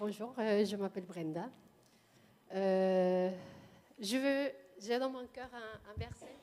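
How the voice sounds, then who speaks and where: With a Spanish accent and noticeable background noise, a woman speaks at a very slow pace, medium pitch and ordinary pitch variation. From Mexico. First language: Spanish (speaking French). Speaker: churchgoer. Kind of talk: testimony. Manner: halting.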